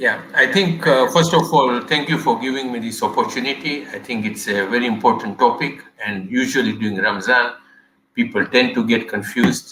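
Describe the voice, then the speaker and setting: In a normal speaking voice, a man with a medium pitch talks at a moderate pace with ordinary pitch variation. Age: 60s. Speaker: medical professor. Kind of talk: panel discussion.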